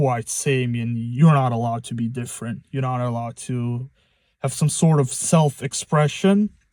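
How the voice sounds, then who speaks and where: With a non-native accent, a man speaks at a moderate pace in a dark, mellow tone, medium in pitch with ordinary pitch variation, in a very clean recording with a silent background. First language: not English. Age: 20s. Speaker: first-time vlogger. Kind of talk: casual monologue vlog. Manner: halting, many fillers and restarts.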